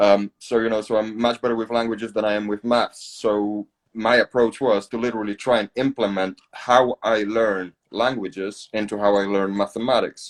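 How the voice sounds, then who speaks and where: At a moderate pace with hardly any pauses, a man with a Polish accent speaks in a monotone, flat intonation, the sound dry and close with no echo. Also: fairly low pitch for a man. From Poland. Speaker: podcast host, accountant. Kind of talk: casual podcast interview. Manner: hesitant, many fillers and repeats.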